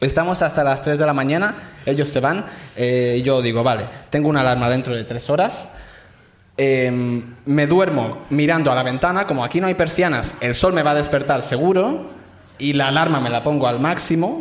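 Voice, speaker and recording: A man uses an ordinary speaking voice with a fairly high pitch. His pace is moderate and his pitch variation ordinary. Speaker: comedian. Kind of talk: storytelling on stage. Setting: stage with audience.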